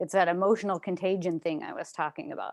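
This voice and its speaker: Speaking at a very fast pace, a woman comes through loud in a dry, close sound with no echo. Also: quiet background. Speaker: coach and speaker. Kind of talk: webinar talk. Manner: animated.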